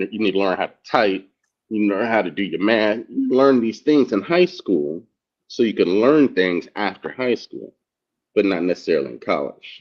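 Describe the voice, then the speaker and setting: An ordinary speaking voice, a man's at fairly low pitch, moves at a moderate pace with lively intonation. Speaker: discussion panelist. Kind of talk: casual discussion.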